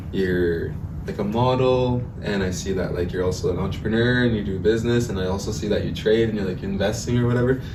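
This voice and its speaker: A man with a western Canadian accent talks very fast in a fairly low voice with ordinary pitch variation, over noticeable background noise and audible room echo. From Edmonton, Alberta, Canada (Cree). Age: 20s. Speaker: entrepreneur and powwow dancer. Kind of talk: podcast interview. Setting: studio with cameras. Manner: casual, filler-heavy with 'like'.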